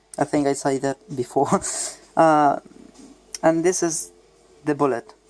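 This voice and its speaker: Music plays in the background as a man speaks at a fairly slow pace. His pitch is fairly high, with fairly even intonation. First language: Spanish. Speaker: hobbyist gunsmith vlogger. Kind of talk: casual show-and-tell video. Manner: halting, with many fillers.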